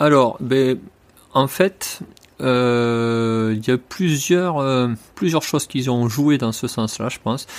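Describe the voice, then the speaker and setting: The delivery is very slow and has ordinary pitch variation, captured on a very clean recording with a silent background. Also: man, medium pitch for a man. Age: 40s. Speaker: horse trainer. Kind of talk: interview.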